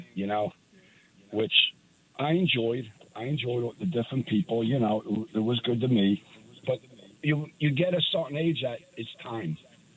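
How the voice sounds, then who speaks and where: With lively intonation and long, frequent pauses, a man of medium pitch talks at a moderate pace. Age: 60s. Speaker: retired landlord. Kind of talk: casual chat.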